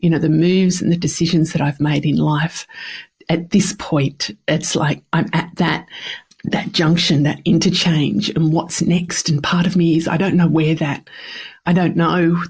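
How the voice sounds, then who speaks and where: A woman's fairly low voice, fairly slow and fairly even in intonation. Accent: Australian. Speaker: podcast host. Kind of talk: personal podcast monologue. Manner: casual.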